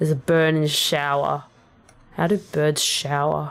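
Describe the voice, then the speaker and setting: With an Australian accent, a woman is talking. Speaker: vtuber rapper streamer. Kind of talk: casual livestream chat.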